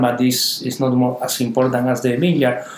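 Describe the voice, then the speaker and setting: A man with a Canary Islands accent at a moderate pace and medium pitch, with audible room echo and noticeable background noise. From Canary Islands, Spain. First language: Spanish. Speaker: winemaker. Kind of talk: interview. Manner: halting, repeats words.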